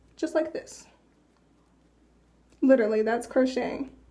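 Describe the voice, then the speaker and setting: Her high pitch, dark and mellow tone, and lively intonation mark this woman's voice. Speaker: hair care vlogger. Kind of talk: tutorial. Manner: casual; whispering.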